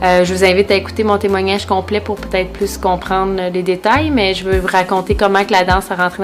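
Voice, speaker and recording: A woman in a Quebec accent talks at a fairly quick pace and medium pitch with monotone, flat intonation, music playing in the background. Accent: Québécois French. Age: 20s. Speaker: dance and fitness instructor. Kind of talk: testimony. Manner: hesitant, many filler sounds.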